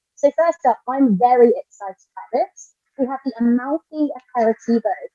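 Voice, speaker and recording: A woman with a British accent and a dark, mellow tone speaks at a moderate pace with high pitch and ordinary pitch variation. Her loudness swings widely in a dry, close sound with no echo. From Britain. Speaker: drinks influencer. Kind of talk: live product showcase. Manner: animated.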